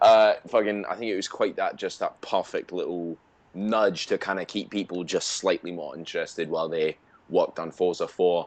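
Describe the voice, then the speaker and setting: A man with a Scottish accent keeps his talking at a moderate speed. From Scotland. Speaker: gaming podcast co-host. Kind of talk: casual chat.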